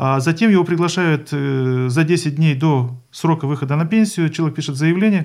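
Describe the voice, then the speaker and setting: A man with a normal speaking voice talks at a moderate pace and a fairly high pitch, with ordinary pitch variation and hardly any pauses. The recording is very clean, with a silent background. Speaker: regional pension fund head. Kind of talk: live radio interview. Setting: radio studio. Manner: formal.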